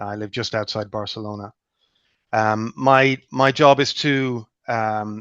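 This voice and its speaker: A man speaks with an Irish accent at a medium pitch. The sound is dry and close with no echo, over a quiet background. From Ireland. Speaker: clinical research relationship manager. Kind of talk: webinar panel talk. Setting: video call.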